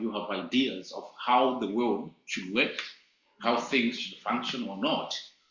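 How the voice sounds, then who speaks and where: Delivery comes at a fairly slow pace with audible room echo. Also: man. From Malawi. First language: not English. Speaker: teacher. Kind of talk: lecture.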